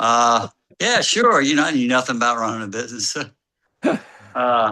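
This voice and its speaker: A man with a North Carolina accent has a bright, sharp tone and medium pitch. His intonation is fairly even, and his pace is moderate. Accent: Southern US (North Carolina). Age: 60s. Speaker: dealership owner. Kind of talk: casual interview, storytelling.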